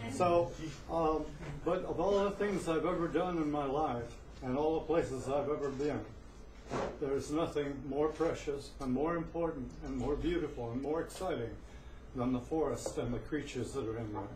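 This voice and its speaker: In an American accent, a man talks at a moderate pace and fairly high pitch with ordinary pitch variation. Audible room echo and noticeable background noise fill the recording. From Northern California (Humboldt County). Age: 70s. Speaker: open mic performer, storyteller. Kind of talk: open mic storytelling. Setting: cafe stage with audience.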